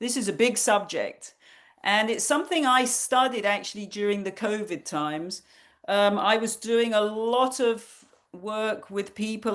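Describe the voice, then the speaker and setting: Over a quiet background, a woman with a British accent speaks at a moderate pace, fairly high in pitch and with ordinary pitch variation. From England. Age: 60s. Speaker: nutrition counselor. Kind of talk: online workshop talk.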